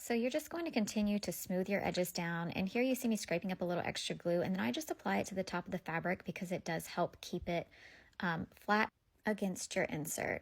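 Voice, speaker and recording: The recording is very clean, with a silent background. A woman speaks at medium pitch and a fairly quick pace. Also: lively intonation. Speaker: craft tutorial creator. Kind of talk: tutorial.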